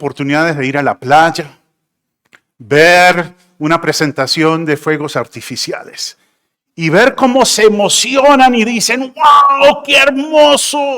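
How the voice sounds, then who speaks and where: A man projects a raised voice with a high pitch and a bright, sharp tone. He talks fairly slowly, and his pitch swings very widely. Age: 60s. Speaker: pastor. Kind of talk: sermon.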